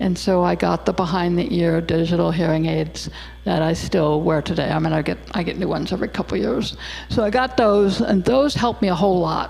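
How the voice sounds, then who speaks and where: Noticeable background noise sits behind a woman whose loudness stays very even. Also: fairly quick pace. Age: 60s. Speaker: hearing loss advocate speaker. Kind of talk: presentation talk. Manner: casual, conversational.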